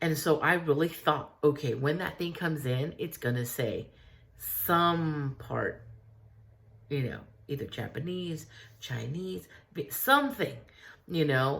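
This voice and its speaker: Some breathiness marks this voice, whose pitch moves in a normal range. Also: woman. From US, Mexican-American. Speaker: artist vlogger. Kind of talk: casual Q&A vlog. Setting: studio. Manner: casual, many fillers.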